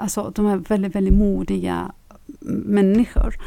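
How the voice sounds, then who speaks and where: A woman speaks in a dark, mellow tone. The recording is very clean, with a silent background. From Iran. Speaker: Iranian feminist activist. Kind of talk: interview. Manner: halting, many fillers.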